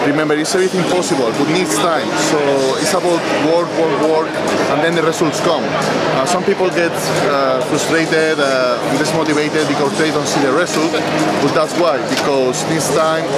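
With music in the background, a man speaks in a dry sound with no echo. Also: moderate pace. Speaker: interviewee. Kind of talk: interview answer. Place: hall. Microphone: phone near.

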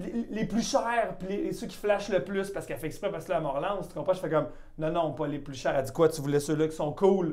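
Background noise is noticeable throughout. The talking goes at a fairly quick clip. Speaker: comedian and podcast host. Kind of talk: casual chat.

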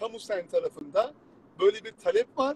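Very wide pitch swings from a man, the sound dry and close with no echo. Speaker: law exam prep instructor. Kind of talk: live stream talk.

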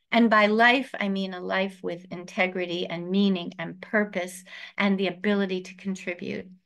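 Against a quiet background, a woman speaks in a monotone, flat way. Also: moderate pace. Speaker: rabbi. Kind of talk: lecture. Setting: video call. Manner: warm, informal. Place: home room. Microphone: webcam.

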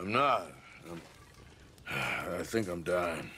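A man's put-on character voice, low-pitched and slow, with lively intonation and a bright, sharp tone

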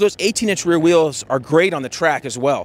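Over a dry sound with no echo, a man talks at a fairly quick pace and a high pitch, with ordinary pitch variation. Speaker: presenter. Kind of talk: product review commentary. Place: open country. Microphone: handheld.

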